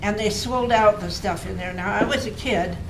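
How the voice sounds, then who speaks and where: Noticeable background noise beneath a voice with an American accent. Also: woman. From Kalama, Washington, USA. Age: old. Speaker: local historian, former librarian. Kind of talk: history talk recollections.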